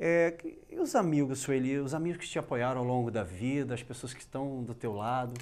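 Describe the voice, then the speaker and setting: A man's ordinary speaking voice at medium pitch, moderate pace and ordinary pitch variation. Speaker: TV interviewer. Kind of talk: interview. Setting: studio. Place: studio. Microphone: lapel.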